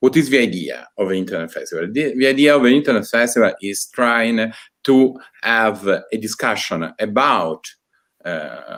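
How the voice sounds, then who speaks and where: The man has an Italian accent and a medium pitch. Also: lively intonation, moderate pace. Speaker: university department director. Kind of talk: opening speech. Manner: halting.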